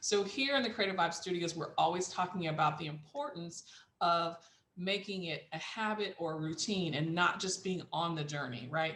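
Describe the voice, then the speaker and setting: A woman talks with lively intonation amid audible room echo. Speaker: business coach. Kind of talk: tutorial.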